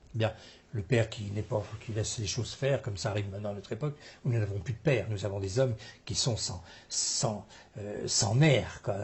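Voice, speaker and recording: A somewhat breathy, fairly low male voice at a fairly quick pace, with ordinary pitch variation and long, frequent pauses. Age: 70s. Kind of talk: interview.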